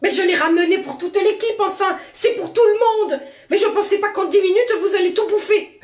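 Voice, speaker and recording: At a fairly quick pace, the speaker uses a put-on character voice pitched extremely high. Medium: voice reel. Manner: exasperated.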